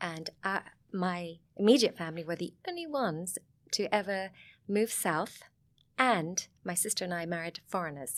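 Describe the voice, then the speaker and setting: A woman with a Sussex accent, fairly low in pitch with ordinary pitch variation, at a moderate pace with long, frequent pauses, on a very clean recording with a silent background. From southern England, Sussex. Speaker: vineyard owner and wine film producer. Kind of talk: casual interview chat.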